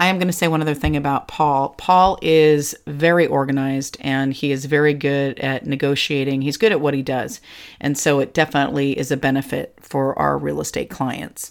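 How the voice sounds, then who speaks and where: A woman with an American accent speaks at a moderate pace with hardly any pauses, her pitch very deep and low. The recording is very clean, with a silent background. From California. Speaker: podcast host and real estate agent. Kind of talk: casual chat. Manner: animated.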